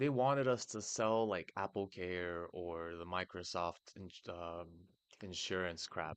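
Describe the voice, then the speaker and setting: A man with an American accent speaks against a quiet background. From United States. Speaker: tech streamer. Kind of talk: live stream tutorial and rant. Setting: live stream. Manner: animated. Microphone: crappy mic before switching to good mic.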